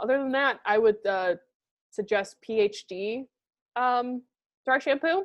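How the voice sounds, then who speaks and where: Lively intonation runs through a woman's high-pitched voice. The background is quiet. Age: late 20s. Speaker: podcast co-host. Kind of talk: casual chat. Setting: video call.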